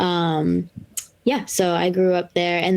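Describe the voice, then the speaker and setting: A woman with a Boston accent speaks at a very slow pace, with a fairly low pitch and monotone, flat intonation. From Massachusetts North Shore (Lynn). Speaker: brewer. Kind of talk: casual chat.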